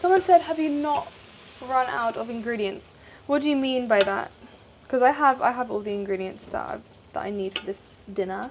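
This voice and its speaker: A woman's high voice in a British accent, with lively intonation. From England. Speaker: cooking content creator. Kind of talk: live cooking stream chat. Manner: casual, chatty.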